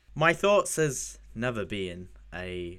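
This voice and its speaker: A man with a British accent at a very slow pace. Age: 20s. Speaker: podcast host, web developer. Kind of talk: casual interview.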